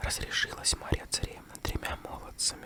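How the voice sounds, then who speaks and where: A fairly slow whisper against noticeable background noise. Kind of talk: ASMR fairy tale reading. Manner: close whisper.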